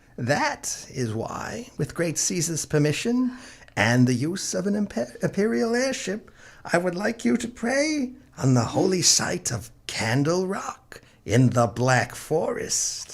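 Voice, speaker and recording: A put-on character voice at a middle pitch moves slowly, at a fairly slow pace, with very wide pitch swings. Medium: audio drama. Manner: defiant, proud.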